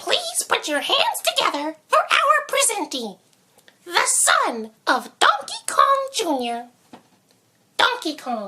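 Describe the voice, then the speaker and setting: A put-on, squeaky character voice at an extremely high pitch, with very wide pitch swings. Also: fairly slow pace. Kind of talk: stage announcer. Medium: machinima.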